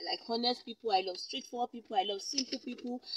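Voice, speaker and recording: Her tone bright and sharp, a woman talks very fast in a dry sound with no echo. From Nigeria (Kogi State). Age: adult. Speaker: YouTuber. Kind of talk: vlog Q&A to camera. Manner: animated, frequent laughs. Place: car. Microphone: phone near.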